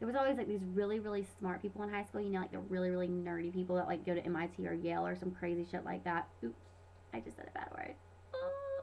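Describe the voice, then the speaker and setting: A woman rattles off her words very fast while noticeable background noise sounds behind her. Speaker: vlogger. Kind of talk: casual vlog monologue. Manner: animated.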